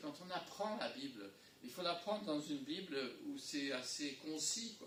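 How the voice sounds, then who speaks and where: Speaking with an English accent, a man uses a high pitch and very wide pitch swings. Noticeable background noise and audible room echo surround his voice. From English-speaking country. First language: English (speaking French). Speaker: pastor. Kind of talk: sermon. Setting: church. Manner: halting.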